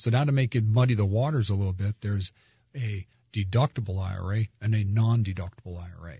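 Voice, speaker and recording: With an American accent, a man talks very fast in a fairly low, dark, mellow, somewhat breathy voice with ordinary pitch variation. The sound is dry and close with no echo, over a quiet background. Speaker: tax strategist and wealth advisor. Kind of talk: radio financial advice talk. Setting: radio studio. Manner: friendly, agreeing.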